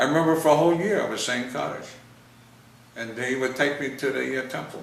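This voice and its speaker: With a New York accent, a man speaks very fast at medium pitch with ordinary pitch variation, amid noticeable background noise and audible room echo. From US Northeast, New York City (Bronx). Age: 80s+. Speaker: WWII veteran interviewed about family history. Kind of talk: casual family interview. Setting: home video interview on camera. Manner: halting.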